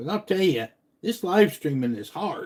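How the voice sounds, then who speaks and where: With a dark, mellow tone, a man speaks at a fairly slow pace with lively intonation. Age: 60s. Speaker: fishing YouTuber. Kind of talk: casual live stream chat.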